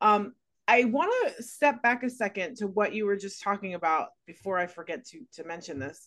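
In an unremarkable speaking voice, a woman talks at a moderate pace and medium pitch with lively intonation and big swings in loudness. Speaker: podcast host. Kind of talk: podcast interview, host intro and questions.

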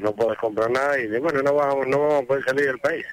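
Amid noticeable background noise, a man with a medium pitch speaks fairly quickly with fairly even intonation, the sound dry and close with no echo. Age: 60s. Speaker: retired bus driver, radio caller. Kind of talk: call-in chat.

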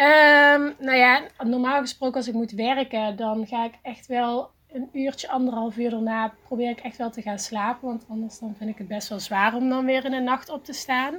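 Her high, bright, sharp voice moves at a moderate pace with fairly even intonation and hardly any pauses. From Netherlands, Eindhoven. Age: 30s. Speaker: teacher and graphic designer. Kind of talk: podcast interview. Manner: hesitant, many fillers.

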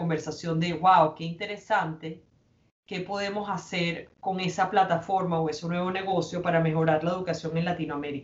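A woman with a fairly low pitch speaks in a monotone, her intonation flat. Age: 40s. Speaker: businesswoman and foundation president. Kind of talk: interview. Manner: hesitant, many fillers.

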